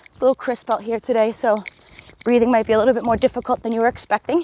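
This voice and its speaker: Speaking very fast with a high pitch and an upbeat tone, a woman has a dark, mellow timbre in a dry, close sound with no echo. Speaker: fitness instructor. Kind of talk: workout coaching while jogging. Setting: outdoors. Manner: encouraging, upbeat.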